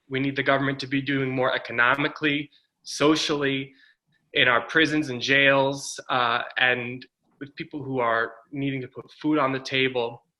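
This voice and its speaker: A man speaks with a Northeastern US accent. His medium-pitched voice is monotone, with flat intonation. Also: moderate pace. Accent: American (Northeast). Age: 30s. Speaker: political candidate. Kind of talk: campaign speech.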